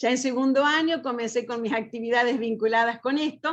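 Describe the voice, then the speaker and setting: At a fairly quick pace, the voice shows ordinary pitch variation. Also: woman. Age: 60s. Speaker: accountant, panel speaker. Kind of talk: panel talk.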